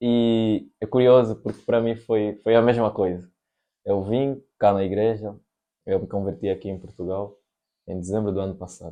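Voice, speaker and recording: Fairly low in pitch, a man talks at a moderate pace with fairly even intonation in an unremarkable speaking voice. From Angola. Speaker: podcast host. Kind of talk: casual chat.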